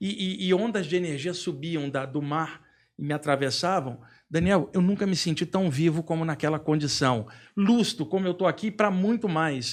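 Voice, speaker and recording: In a very clean recording with a silent background, a man with a high pitch speaks at a moderate pace with ordinary pitch variation. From Brazil, Rio de Janeiro. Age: 60s. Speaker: spiritual author and lecturer. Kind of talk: podcast interview, personal story.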